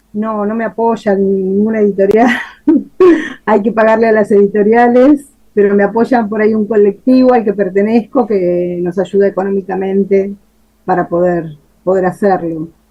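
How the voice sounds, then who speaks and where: Her tone is dark and mellow. This woman speaks at a moderate pace with fairly even intonation. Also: medium pitch for a woman. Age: 50s. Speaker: writer. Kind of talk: interview answers.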